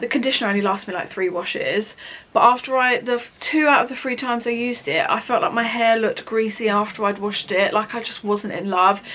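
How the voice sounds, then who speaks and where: A woman's very fast, fairly high voice in an English accent with ordinary pitch variation and hardly any pauses, over noticeable background noise. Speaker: beauty vlogger. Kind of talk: product review vlog. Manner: chatty.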